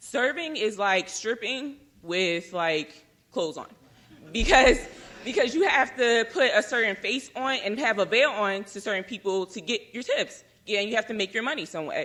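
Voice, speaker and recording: A woman speaks in a fairly high pitch with lively intonation. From US Northeast, Philadelphia. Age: 20s. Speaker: panelist. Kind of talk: panel talk. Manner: fast.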